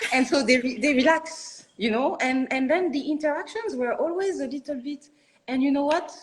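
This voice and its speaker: A woman talks at a very fast pace with very wide pitch swings. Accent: French. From France, Paris suburbs. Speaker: architect and studio founder. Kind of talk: interview. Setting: live online video interview. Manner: halting, many restarts.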